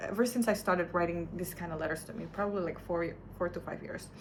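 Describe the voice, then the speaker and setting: A woman speaks with a non-native accent. Her intonation is fairly even. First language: not English. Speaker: vlogger. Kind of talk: personal video diary. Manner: halting.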